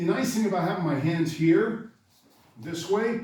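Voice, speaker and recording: A man's somewhat breathy voice with ordinary pitch variation, in audible room echo. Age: 60s. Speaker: karate instructor. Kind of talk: tutorial. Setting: dojo. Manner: casual, conversational.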